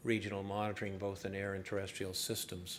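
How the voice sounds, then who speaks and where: A man's fairly low-pitched voice is heard with audible room echo. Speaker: environmental scientist. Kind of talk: conference presentation.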